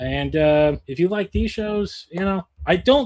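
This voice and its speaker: This is an ordinary speaking voice from a man with a fairly high pitch. His intonation is lively. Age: 40s. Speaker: podcast host. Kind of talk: casual chat. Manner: casual, with many fillers.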